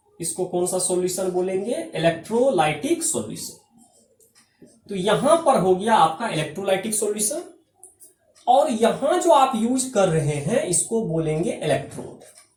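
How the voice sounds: Speaking at a moderate pace, a man has a high pitch, a slightly mellow tone and big pitch swings. Audible echo fills the room.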